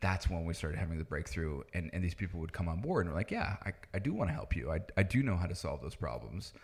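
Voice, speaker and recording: A man with a very deep, low voice and vocal fry talks at a very fast pace with lively intonation and hardly any pauses. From Netherlands. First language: Dutch. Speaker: startup founder and tech entrepreneur. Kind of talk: casual interview conversation.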